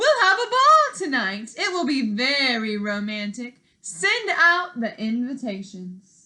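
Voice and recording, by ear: A woman does a put-on character voice, high-pitched with a bright, sharp tone and big pitch swings. She talks at a slow pace, and room echo is audible.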